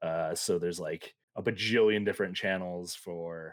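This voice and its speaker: In a very clean recording with a silent background, a man with an ordinary speaking voice and an American accent talks at a moderate pace and a fairly low pitch. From United States. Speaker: podcast co-host. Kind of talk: casual chat.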